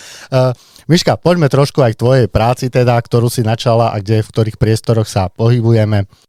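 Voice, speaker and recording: Dry and close with no echo, a man's dark, mellow voice at medium pitch moves at a fairly quick pace with fairly even intonation. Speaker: podcast host. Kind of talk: casual podcast interview.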